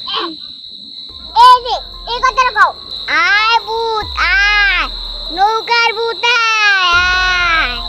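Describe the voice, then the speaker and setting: Very slow pace in a put-on character voice. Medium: short film. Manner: sly, eerie laughter.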